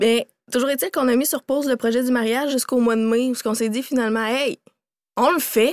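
A woman's high-pitched voice with a Quebec accent at a fairly quick pace, with very even loudness and fairly even intonation, in a very clean recording with a silent background and a dry, close sound with no echo. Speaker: company co-founder and CEO. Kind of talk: interview, casual conversation.

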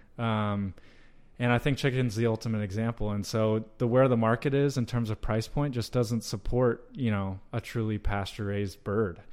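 A man speaks at a moderate pace in a medium pitch with fairly even intonation. He has an ordinary speaking voice. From US South, North Georgia. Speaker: meat company sales director. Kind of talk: interview.

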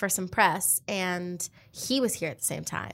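A woman's fairly low voice with vocal fry, in a very clean recording with a silent background. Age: 20s. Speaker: actress and singer. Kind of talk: interview.

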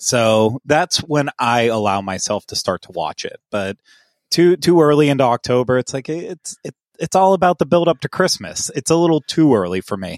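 Pitching fairly high, a man talks at a moderate pace with very wide pitch swings. The sound is dry and close, with no echo. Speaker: podcast executive producer, co-host. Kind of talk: casual chat. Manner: hesitant, repeats words.

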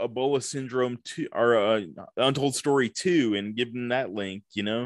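A man with an American accent speaks at a medium pitch. He has an ordinary speaking voice with fairly even intonation. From US South, Tupelo, Mississippi. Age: 40s. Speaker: film critic. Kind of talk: casual chat. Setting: video call.

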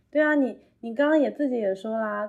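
Moving at a moderate pace, this voice carries a dark, mellow tone. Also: woman. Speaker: emotion-focused internet product worker. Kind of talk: casual chat. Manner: animated.

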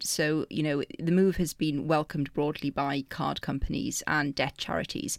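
A woman's very deep, low voice with ordinary pitch variation, on a very clean recording with a silent background. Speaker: newspaper reporter. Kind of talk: interview.

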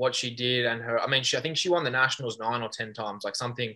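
Speaking very fast in an Australian accent, a man has a bright, sharp tone and ordinary pitch variation. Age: 20s. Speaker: judo Olympian. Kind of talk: casual interview.

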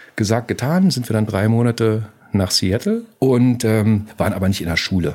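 A man talks at a moderate pace with medium pitch and ordinary pitch variation. He has a normal speaking voice. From East Berlin. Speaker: podcast producer. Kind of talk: interview storytelling.

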